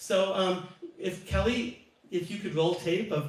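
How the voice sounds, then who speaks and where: Audible room echo and noticeable background noise surround moderately paced speech that has ordinary pitch variation. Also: man. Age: 60s. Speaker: singer-songwriter. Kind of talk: casual chat. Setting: live stream.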